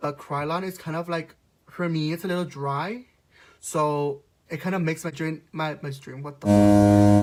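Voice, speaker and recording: A man's fairly high-pitched voice at a moderate pace, with music in the background. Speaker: makeup vlogger, drag performer. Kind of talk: makeup tutorial vlog. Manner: casual, halting with fillers.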